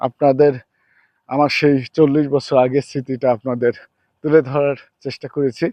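A man's fairly high voice in a dark, mellow tone, monotone and flat, with a dry, close sound and no echo. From Kushtia, Bangladesh. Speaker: vlogger. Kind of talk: travel vlog monologue. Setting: outdoors on a river sandbank. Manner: halting.

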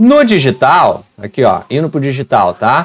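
Very wide pitch swings run through a man's fairly slow speech. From Rio de Janeiro, Brazil. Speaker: education youtuber. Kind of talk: tutorial. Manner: animated.

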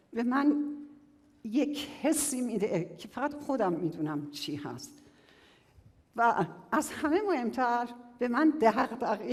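Very slowly and with long, frequent pauses, a woman speaks in a high voice whose pitch swings very widely and whose loudness rises and falls sharply. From Iran, southern Kerman province. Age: 60s. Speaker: quality-of-life researcher and public speaker. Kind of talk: public talk.

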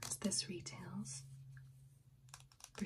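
Soft-spoken words come at a very slow pace against noticeable background noise. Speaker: beauty reviewer. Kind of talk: casual product review chat. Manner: soft-spoken, hushed ASMR voice. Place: home room.

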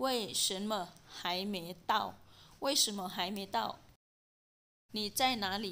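A woman's medium-pitched voice at a very slow pace. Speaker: language teacher. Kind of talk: language lesson drill. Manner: slow, deliberate repetition.

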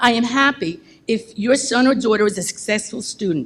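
With an American accent, a woman speaks in a somewhat breathy, fairly high voice with lively intonation. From New Jersey (Bayonne). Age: 70s. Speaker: member of the public, substitute teacher. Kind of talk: public comment speech. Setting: school board meeting.

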